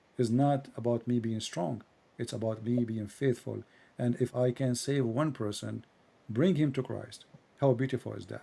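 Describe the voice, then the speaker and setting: Speaking with a non-native accent, a man with a medium pitch and a dark, mellow tone keeps a moderate pace. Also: fairly even intonation. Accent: foreign, non-native English. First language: Arabic. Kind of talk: live-stream call-in conversation.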